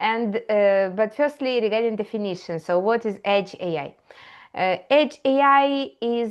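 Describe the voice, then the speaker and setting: A woman's fairly high voice at a fairly slow pace. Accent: strong Eastern European. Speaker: AI educator. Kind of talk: tutorial. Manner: halting, many fillers.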